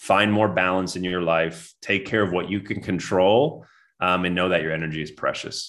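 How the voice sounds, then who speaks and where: At a moderate pace, a man with a very deep, low pitch speaks with ordinary pitch variation. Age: 30s. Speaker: former pro basketball player turned wellness coach. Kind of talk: interview.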